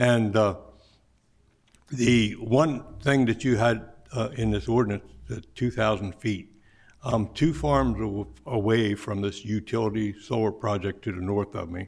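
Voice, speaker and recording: A man's fairly low voice with vocal fry, fairly slow delivery and ordinary pitch variation. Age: 70s. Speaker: farmer. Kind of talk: public hearing testimony. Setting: public meeting room with mic. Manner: halting, many fillers.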